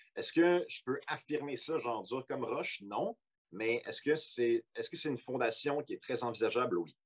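Male speaker with a Quebec accent at a fairly slow pace, the sound dry and close with no echo. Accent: Québécois French. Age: 20s. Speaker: podcast guest. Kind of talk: casual chat.

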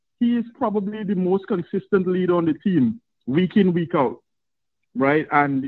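With lively intonation and a high voice, a man talks at a moderate pace. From Trinidad and Tobago. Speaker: caller. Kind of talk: call-in sports talk. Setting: phone call.

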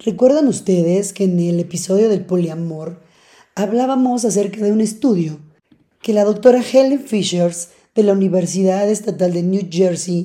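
A woman's dark, mellow tone sits at a medium pitch as she speaks at a fairly slow pace. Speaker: podcast host. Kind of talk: casual monologue. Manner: loud.

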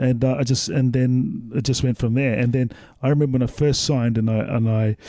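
This voice has a New Zealand accent and a dark, mellow tone, moving at a fairly quick pace with fairly even intonation and very even loudness. The recording is very clean, with a silent background. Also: man, medium pitch for a man. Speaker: former rugby league player. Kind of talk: casual chat.

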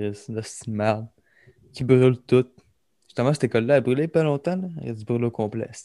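A man with a Quebec accent and a dark, mellow tone, at a fairly quick pace with long, frequent pauses and big swings in loudness, in a dry, close sound with no echo and a very clean recording with a silent background. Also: medium pitch for a man, ordinary pitch variation. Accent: Québécois French. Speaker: podcast co-host. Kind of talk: casual chat.

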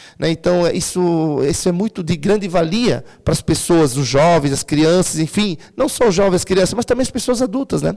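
Speaking at a moderate pace with hardly any pauses, a man has a high pitch, a dark, mellow tone, lively intonation and very even loudness. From Santa Catarina, Brazil (Timbó). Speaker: local politician. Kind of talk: interview. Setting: studio. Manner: halting.

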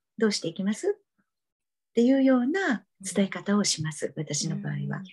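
A woman's somewhat breathy voice moves through very wide pitch swings. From Japan, Kagawa (Seto Inland Sea). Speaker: tarot and astrology reader. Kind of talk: interview conversation.

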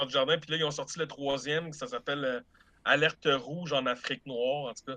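A man with a Quebec accent, fairly high pitch and a bright, sharp tone, at a moderate pace with ordinary pitch variation. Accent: Québécois French. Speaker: film buff co-reviewer. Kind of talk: casual chat.

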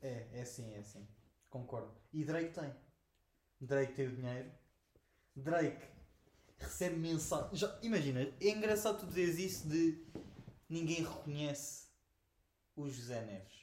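With audible room echo, a man with a fairly high pitch speaks at a fairly slow pace in a somewhat breathy voice, his intonation lively, his loudness swinging widely and his pauses long and frequent. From Portugal, Oeste region (Lourinhã). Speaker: podcast co-host. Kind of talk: casual chat. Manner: animated.

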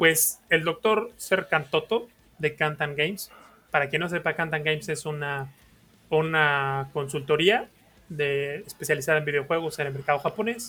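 The speaker talks at a fairly slow pace with a Mexican accent. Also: man, fairly high pitch for a man, ordinary pitch variation. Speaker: podcast co-host. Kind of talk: casual chat.

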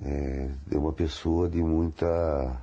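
A man's very deep, low voice, dark and mellow in tone and somewhat breathy. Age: 50s. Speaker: blind interviewee. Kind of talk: testimony. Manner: halting.

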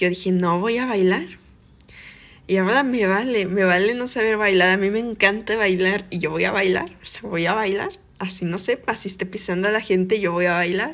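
A woman speaks in a Mexican accent with fairly even intonation. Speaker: podcast host. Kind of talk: personal monologue.

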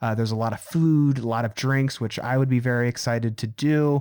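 On a very clean recording with a silent background, a man with an unremarkable speaking voice talks fairly quickly at medium pitch with fairly even intonation. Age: 20s. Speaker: podcast host. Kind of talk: casual chat.

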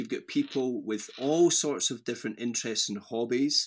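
In a west of Scotland accent, a man speaks at a fairly high pitch. The recording is very clean, with a silent background. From Scotland, near Glasgow. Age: 30s. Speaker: pastor. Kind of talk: casual chat.

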